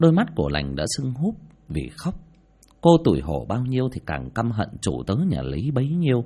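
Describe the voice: The clip is plain reading aloud. It is read straight through.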